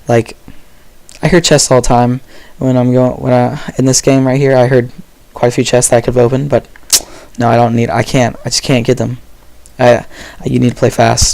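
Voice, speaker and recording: A man's medium-pitched, flat, monotone delivery at a fairly quick pace, broken by long, frequent pauses. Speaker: gaming commentator. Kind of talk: gameplay commentary. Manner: casual, conversational.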